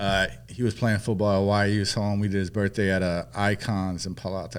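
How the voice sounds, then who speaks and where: A man talks with a Northern California accent. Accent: Northern California American. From San Francisco Bay Area (Peninsula). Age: 40s. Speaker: nightlife promoter and brand ambassador. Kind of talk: podcast interview.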